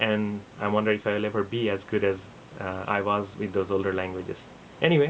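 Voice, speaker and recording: A man with an Assam accent, at a fairly low pitch, fairly quick in pace and fairly even in intonation. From India (Assam, schooled in Bengal). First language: Assamese. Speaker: vlogger. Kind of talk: casual talk to camera. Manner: halting, with fillers.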